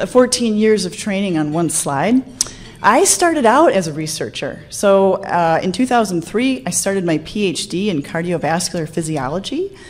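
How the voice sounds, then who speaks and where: Lively intonation carries this fairly slow delivery in an American accent. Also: woman. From US Midwest. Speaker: anesthesiologist and researcher. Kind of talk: conference talk. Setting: stage with audience. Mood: light, humorous, personal. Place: hall.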